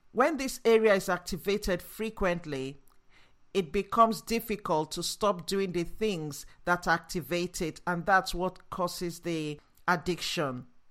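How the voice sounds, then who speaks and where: A woman with a Nigerian accent speaks at a fairly slow pace and a fairly low pitch with ordinary pitch variation. The recording is very clean, with a silent background. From Nigeria, after early childhood in Yorkshire. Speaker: neuroscience-based leadership coach. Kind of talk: solo educational podcast monologue. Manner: enthusiastic, motivational.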